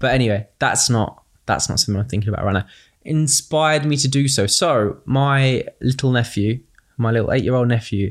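Talking at a fairly quick pace, a man with a British accent shows ordinary pitch variation. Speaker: charity fundraiser and community advocate. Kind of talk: casual interview conversation.

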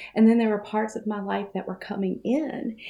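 This woman's voice sits at a medium pitch, and her intonation stays fairly even. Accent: Southern US. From US South, Mississippi. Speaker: coach and course designer. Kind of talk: casual interview.

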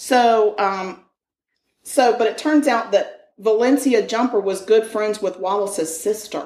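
Speaking at a fairly slow pace, a woman has a fairly high pitch and ordinary pitch variation. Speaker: true crime podcast host. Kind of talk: casual chat. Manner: animated, laughs a lot.

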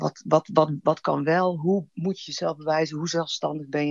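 This woman's pitch is very deep and low. She speaks at a fairly slow pace. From Brabant, Netherlands. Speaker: storyteller guest. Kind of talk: personal storytelling.

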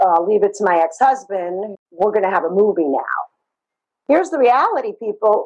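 In a Brooklyn accent, a woman speaks at a moderate pace with a dark, mellow tone, medium pitch and ordinary pitch variation. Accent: New York (Brooklyn). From Brooklyn, New York. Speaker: therapist. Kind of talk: interview, personal story.

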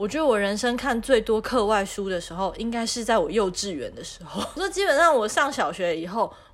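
A woman's fairly high voice with a Taiwanese accent, big swings in loudness and noticeable background noise. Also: hardly any pauses. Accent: Taiwanese Mandarin. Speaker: podcast co-host. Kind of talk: casual chat.

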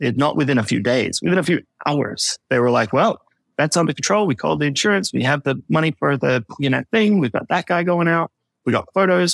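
Someone with an Australian accent talks at a fairly quick pace with lively intonation and vocal fry, the sound dry and close with no echo. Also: man. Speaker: personal finance podcaster. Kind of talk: casual chat.

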